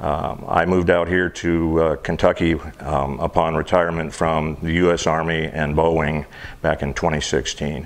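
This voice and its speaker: Over noticeable background noise, a man with an American accent speaks at a moderate pace in a very deep, low pitch with monotone, flat intonation. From US, military family; northern Michigan and Washington State. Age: 60s. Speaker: war veteran. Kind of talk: interview.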